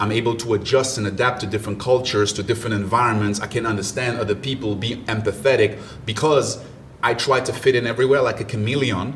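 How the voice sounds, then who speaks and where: Speaking at a very fast pace, a man holds a medium pitch with fairly even intonation. Noticeable background noise can be heard. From Ivory Coast, later Germany. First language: French and German. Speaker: mindset coach and motivational speaker. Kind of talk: podcast interview.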